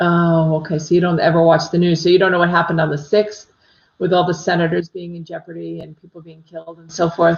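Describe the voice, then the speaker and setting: A woman with an American accent talks at a very fast pace in a fairly low, somewhat breathy voice. Her intonation is monotone and flat, and her loudness swings widely. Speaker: psychic medium. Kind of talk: casual livestream chat with viewers. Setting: live stream. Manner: chatty, many fillers.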